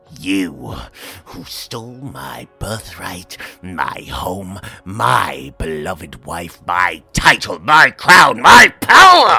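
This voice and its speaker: At a very slow pace, a man uses a raspy, put-on character voice with very deep, low pitch, with faint music in the background. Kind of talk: read story. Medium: read story. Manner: rising rage, manic.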